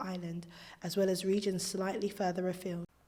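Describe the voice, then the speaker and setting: The speaker goes at a very fast pace. The voice is somewhat breathy. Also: woman. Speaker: history narrator. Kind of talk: educational history narration.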